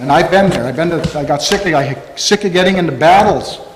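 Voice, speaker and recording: A man's moderately paced speech with ordinary pitch variation, audible room echo and noticeable background noise. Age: 60s. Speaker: farmer. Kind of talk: public comment at meeting. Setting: town hall meeting. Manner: halting.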